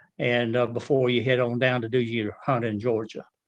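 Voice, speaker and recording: With a Southern US accent, this speaker keeps to a fairly slow pace. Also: man. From northern Florida. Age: 70s. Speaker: turkey hunter and real estate appraiser. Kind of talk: casual chat. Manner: halting, repeats words.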